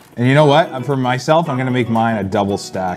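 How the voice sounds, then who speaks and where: A man races through his words very fast while clear music plays behind him. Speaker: food challenge host. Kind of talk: casual vlog chat. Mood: playful mock disgust. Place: studio. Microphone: lapel.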